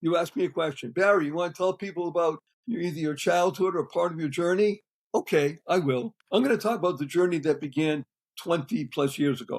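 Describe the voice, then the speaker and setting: At a fairly quick pace, the speaker talks with an American accent and ordinary pitch variation. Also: man, high pitch for a man. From US Northeast (Boston, Massachusetts). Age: 70s. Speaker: serial entrepreneur. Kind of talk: podcast interview. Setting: podcast recording. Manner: high energy.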